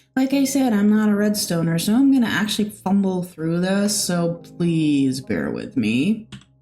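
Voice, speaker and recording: Music plays in the background as a woman speaks at a moderate pace with hardly any pauses. Her pitch swings very widely. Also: medium pitch for a woman. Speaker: gaming video creator. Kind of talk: gameplay commentary. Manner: halting, full of fillers.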